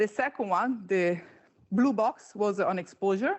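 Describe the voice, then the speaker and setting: A woman speaks at a medium pitch with an Italian accent and ordinary pitch variation. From Italy. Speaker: panel moderator, insurance flood specialist. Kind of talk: conference presentation. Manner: hesitant, many fillers.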